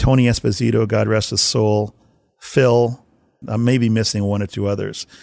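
A man with a Canadian accent, medium in pitch, his intonation fairly even, on a very clean recording over a silent background. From Winnipeg, Canada. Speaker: hockey video coach. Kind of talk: interview storytelling.

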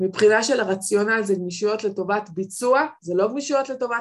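A woman speaks at a medium pitch. Her pitch variation is ordinary.

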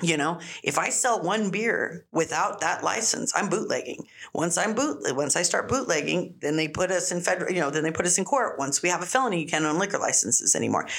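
The speech moves at a fairly quick pace with lively intonation and very even loudness. Background noise is noticeable. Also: woman, fairly low pitch for a woman. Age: 40s. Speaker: restaurant and bar owner. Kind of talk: casual chat.

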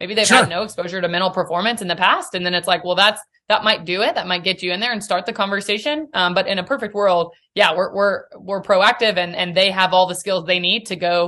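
The tone is bright and sharp, with fairly even intonation. Delivery is very fast, with hardly any pauses. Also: woman, medium pitch for a woman. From Nashville, Tennessee. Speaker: mental performance coach. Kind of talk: interview.

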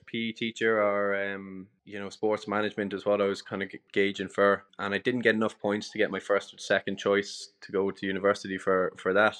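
With a north Leinster accent, a man with a fairly low pitch speaks at a fairly quick pace in a monotone, flat way, with big swings in loudness. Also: hardly any pauses. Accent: Irish (north Leinster). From Ireland, Dundalk (County Louth). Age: 30s. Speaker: cafe and restaurant owner. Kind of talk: interview. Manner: casual, frequent repetitions and fillers.

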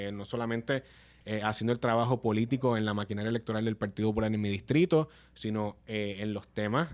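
A man's fairly low voice at a fairly quick pace, an ordinary speaking voice. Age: 30s. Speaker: politician. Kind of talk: casual chat.

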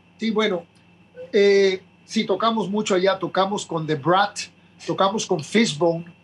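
A man's high voice, fairly even in intonation, with long, frequent pauses. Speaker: punk band frontman. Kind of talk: interview.

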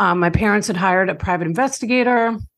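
A woman with a slight New York accent at a moderate pace, in a very clean recording against a silent background. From Long Island, New York. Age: 50s. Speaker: author and recovery podcaster. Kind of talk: interview, personal testimony.

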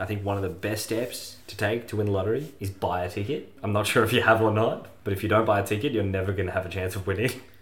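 Very fast speech from a man with a fairly low pitch, fairly even intonation and hardly any pauses, with audible room echo. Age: 30s. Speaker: podcast co-host. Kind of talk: casual comedic chat.

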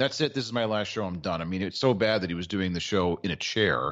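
With an American accent and lively intonation, the speaker goes at a fairly quick pace over a quiet background. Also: man. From Maryland. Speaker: sports radio co-host. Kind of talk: casual banter, sports talk show.

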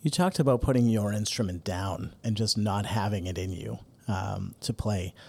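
A somewhat breathy voice at a moderate pace with ordinary pitch variation, on a very clean recording with a silent background. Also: man, fairly low pitch for a man. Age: 40s. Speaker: guest podcast host, clarinet company executive. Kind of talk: interview.

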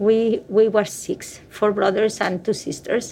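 Speaking with a Spanish accent, a woman talks. Her pace is fairly slow. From Spain. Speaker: pediatrician. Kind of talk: interview testimony.

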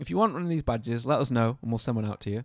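Talking at a very fast pace with very wide pitch swings, a man is heard on a very clean recording against a silent background. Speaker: podcast host. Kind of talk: casual chat. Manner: animated.

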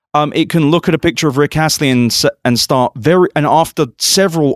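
An ordinary speaking voice from a man, fairly high-pitched and fairly quick, with ordinary pitch variation and a very clean, dry, close recording with no echo and a silent background. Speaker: tech podcast host. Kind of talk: casual chat. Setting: conference in Las Vegas.

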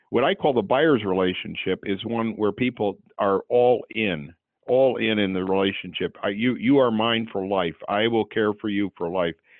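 A man's ordinary speaking voice, fairly low in pitch, with ordinary pitch variation at a moderate pace. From California, Santa Barbara. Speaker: clinical psychologist and author. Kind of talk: interview.

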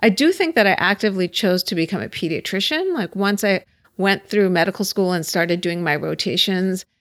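In a normal speaking voice with an American accent, the speaker moves at a fairly quick pace on a very clean recording with a silent background. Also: woman, medium pitch for a woman, ordinary pitch variation. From Pittsburgh, Pennsylvania. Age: 40s. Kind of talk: casual interview. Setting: at her home.

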